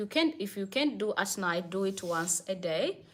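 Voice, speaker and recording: Over a silent background in a very clean recording, the speaker goes at a fairly slow pace with lively intonation. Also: woman. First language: not English. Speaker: livestream host, spiritual advice. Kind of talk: live stream Q&A. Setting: live stream.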